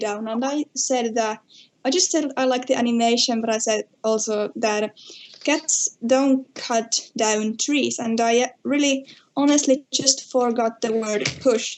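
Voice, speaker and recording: A woman speaks at a fairly slow pace with fairly even intonation, in a Finnish accent. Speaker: podcast guest. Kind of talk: casual chat. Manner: halting.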